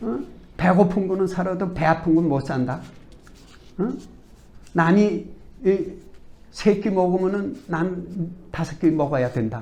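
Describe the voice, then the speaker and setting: The pace is very slow. Pauses are long and frequent. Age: old. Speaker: company executive. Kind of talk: interview. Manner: animated.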